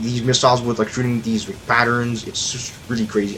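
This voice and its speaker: Against noticeable background noise, a man at medium pitch talks fairly quickly. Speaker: gamer giving commentary. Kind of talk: game commentary voiceover. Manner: hesitant, stuttering, trailing off.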